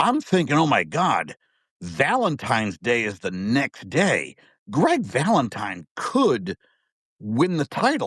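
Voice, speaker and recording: Against a quiet background, in a dry, close sound with no echo, a man with an American accent speaks very slowly at a fairly high pitch, with very wide pitch swings and vocal fry. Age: 50s. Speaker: wrestling fan guest. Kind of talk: casual chat. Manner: animated.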